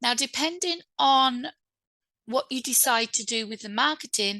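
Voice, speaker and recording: A woman's high-pitched, bright, sharp voice with an English accent, lively intonation and a moderate pace, dry and close with no echo against a quiet background. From England. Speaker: author and publishing speaker. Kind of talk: online event talk. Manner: halting, many fillers.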